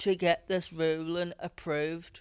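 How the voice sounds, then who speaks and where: On a very clean recording with a silent background, a woman speaks very slowly at a fairly low pitch. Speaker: podcast host and musician. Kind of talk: casual chat.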